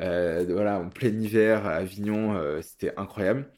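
In a very clean recording with a silent background, a man speaks very slowly in a fairly low pitch. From Paris, France. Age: 30s. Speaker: butcher. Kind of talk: interview. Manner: hesitant, many fillers.

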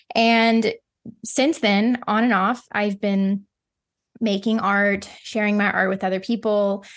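Against a quiet background, a woman with an American accent speaks very slowly at a medium pitch, her intonation fairly even and her loudness very even. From US Midwest (Ozarks). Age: 30s. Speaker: painter. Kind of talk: casual interview chat.

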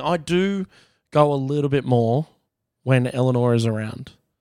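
A man with an Australian accent, medium pitch and lively intonation at a fairly slow pace, on a very clean, silent recording with a dry, close sound and no echo. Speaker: comedian. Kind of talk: casual chat.

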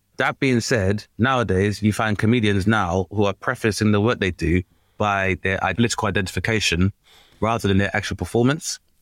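A man with an ordinary speaking voice and a fairly low pitch talks at a fairly quick pace, with fairly even intonation and very even loudness. The sound is dry and close with no echo, in a very clean recording with a silent background. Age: 30s. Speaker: comedian and podcast host. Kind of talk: casual chat.

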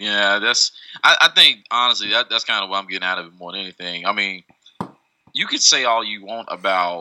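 The sound is dry and close, with no echo. A man with a fairly low pitch and fairly even intonation speaks in an ordinary speaking voice. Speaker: podcast co-host. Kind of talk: casual chat.

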